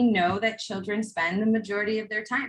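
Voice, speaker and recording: A woman's somewhat breathy, fairly high voice. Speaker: workshop presenter on trauma-informed schools. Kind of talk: conference workshop presentation.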